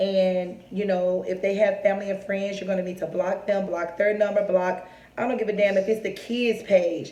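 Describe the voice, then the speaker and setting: At a moderate pace, the speech runs in a monotone, flat intonation, with audible room echo and noticeable background noise. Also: woman, medium pitch for a woman. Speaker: vlogger. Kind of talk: personal storytelling to camera. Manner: strained, forcing words out.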